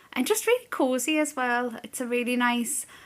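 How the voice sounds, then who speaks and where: Bright and sharp in tone, a woman with a British accent speaks at a high pitch with ordinary pitch variation. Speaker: small business owner and vlogger. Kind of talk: casual vlog. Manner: chatty.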